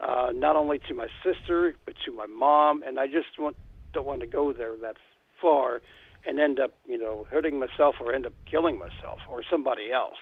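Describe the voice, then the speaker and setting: A man with an American accent talks at a fairly high pitch with ordinary pitch variation. His loudness swings a lot. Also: moderate pace. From western Ohio. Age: 60s. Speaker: longtime listener and donor. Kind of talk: phone conversation. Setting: phone call. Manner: halting.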